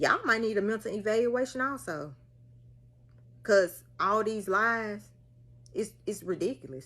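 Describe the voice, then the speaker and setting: Speaking in a strong Mississippi accent, a woman has a bright, sharp tone, fairly high pitch and lively intonation. Her pace is fairly slow, broken by long, frequent pauses. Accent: thick Mississippi Southern. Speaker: social media commenter, mother. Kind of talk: casual vlog rant. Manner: animated.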